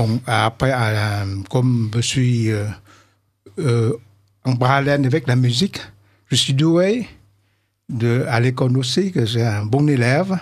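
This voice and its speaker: A man with a Vietnamese accent, somewhat breathy, at a medium pitch with ordinary pitch variation, a very slow pace and long, frequent pauses, against a quiet background. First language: Vietnamese (speaking French). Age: 70s. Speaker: composer; radio guest. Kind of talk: radio interview. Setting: studio. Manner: halting. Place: studio. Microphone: studio mic.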